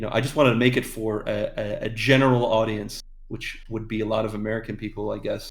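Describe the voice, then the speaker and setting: Very fast, monotone, flat delivery from a man at medium pitch, with audible room echo. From Ireland. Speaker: animator and voice actor. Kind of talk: casual interview chat. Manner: hesitant, many fillers.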